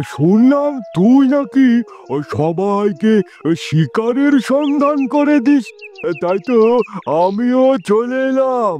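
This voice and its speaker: A man does a cartoonish character voice at an extremely high pitch. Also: fairly slow pace. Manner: commanding.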